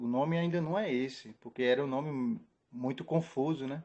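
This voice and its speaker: A man talks at a fairly slow pace. His medium pitch carries ordinary pitch variation. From Brazil, Pernambuco (Recife). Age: 30s. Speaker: church member. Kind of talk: testimony. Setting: live stream. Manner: halting.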